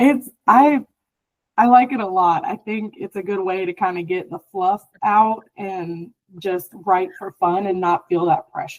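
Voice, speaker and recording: A woman speaks loudly at a fairly slow pace, her pitch medium with ordinary variation. The sound is dry and close, with no echo. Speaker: author. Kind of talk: interview.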